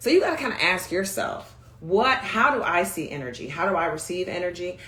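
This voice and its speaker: A woman's animated tone with lively intonation at a moderate pace, over noticeable background noise. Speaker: communication coach. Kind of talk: livestream talk. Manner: high energy.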